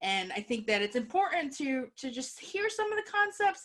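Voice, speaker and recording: A woman speaks in an animated tone. Her pitch moves in very wide swings. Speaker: workshop presenter. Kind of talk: workshop presentation. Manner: fast.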